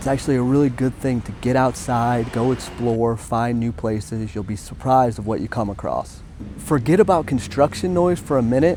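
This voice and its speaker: Amid noticeable background noise, a man at medium pitch speaks at a moderate pace with lively intonation and hardly any pauses. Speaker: travel vlogger. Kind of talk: vlog narration.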